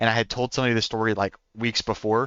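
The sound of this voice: A man's fast, medium-pitched voice with a fairly bright, clear, smooth tone and a slight Oklahoma accent. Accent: American, light Oklahoma country twang.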